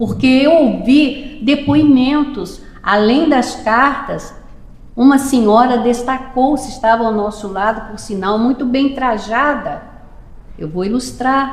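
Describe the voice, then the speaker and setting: The speech moves at a very slow pace amid audible room echo and noticeable background noise. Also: woman, high pitch for a woman, ordinary pitch variation. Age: 70s. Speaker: spiritist lecturer. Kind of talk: lecture. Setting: public meeting at a spiritist center.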